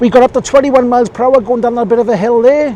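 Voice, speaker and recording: Noticeable background noise accompanies a man speaking at an extremely high pitch. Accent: Welsh. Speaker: e-bike reviewer. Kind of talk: ride-along review commentary. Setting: outdoors on a bike. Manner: casual, chatty.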